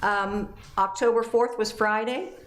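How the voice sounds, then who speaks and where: Against noticeable background noise and audible room echo, a woman talks at a fairly slow pace with fairly even intonation. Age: 60s. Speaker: city council member. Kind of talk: council meeting report. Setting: council chamber meeting.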